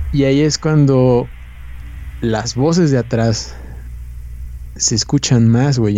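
A man speaks with a Mexican accent. His pace is fairly slow. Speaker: podcast co-host. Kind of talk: casual chat. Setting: live stream.

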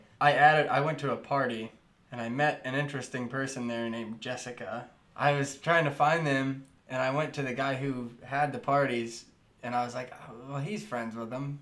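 A man uses a plain, everyday voice, keeping a moderate pace and fairly even intonation. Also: medium pitch for a man. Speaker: podcast co-host. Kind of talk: casual chat.

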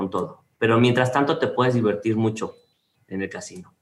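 A man speaks with a Mexican accent. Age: 40s. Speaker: industrial designer. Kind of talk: interview conversation.

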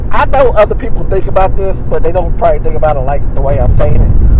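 Noticeable background noise and audible room echo fill the recording. A man's words come at a fairly quick pace. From eastern Kentucky. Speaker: podcast host. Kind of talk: casual monologue. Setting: in a car.

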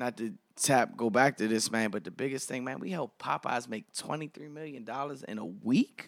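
This man has an American accent, medium pitch and an unremarkable speaking voice, with ordinary pitch variation. He keeps a moderate pace with hardly any pauses, and the sound is dry and close with no echo. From Washington DC. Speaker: radio and TV personality. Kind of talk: casual chat.

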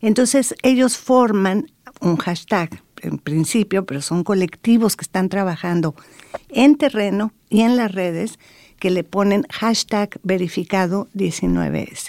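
A woman with a medium-pitched voice speaks very slowly with lively intonation, in a dry, close sound with no echo. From Mexico. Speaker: anthropologist and researcher. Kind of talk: interview.

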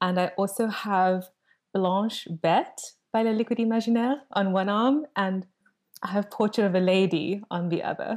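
A woman's medium-pitched voice in a South African accent, at a moderate pace, with very even loudness and ordinary pitch variation. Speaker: fragrance content creator. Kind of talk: casual chat. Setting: video call. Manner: soothing.

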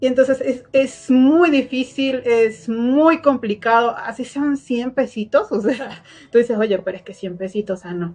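With hardly any pauses, a woman speaks at a fairly slow pace in a high pitch, her loudness swinging widely while her pitch varies in an ordinary way. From Venezuela. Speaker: agroindustrial engineer. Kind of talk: podcast interview.

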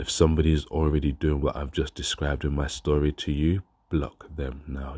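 Somewhat breathy and dark, mellow in tone, a man with a very deep, low pitch talks in a monotone, flat way at a moderate pace against a quiet background. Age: 30s. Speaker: vlogger. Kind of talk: casual vlog monologue.

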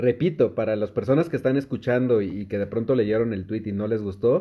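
A plain, everyday voice from a man, medium in pitch, at a fairly quick pace. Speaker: podcast host. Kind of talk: casual chat.

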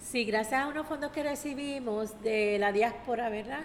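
A woman speaks fairly slowly in a normal speaking voice. Her pitch is fairly high. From Puerto Rico, San Juan (Barrio Obrero). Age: 60s. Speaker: community leader. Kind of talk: radio interview.

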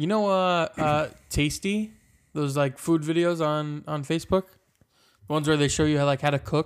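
Using an ordinary speaking voice, a man talks at a moderate pace and fairly high pitch with fairly even intonation on a very clean recording with a silent background. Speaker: podcast co-host, film set background actor. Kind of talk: casual comedic chat. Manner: playful, laughs often.

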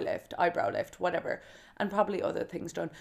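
The speaker uses an animated tone with a Kerry accent. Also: woman. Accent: Irish (Kerry). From Ireland, County Kerry. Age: 20s. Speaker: podcast host. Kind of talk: casual solo monologue.

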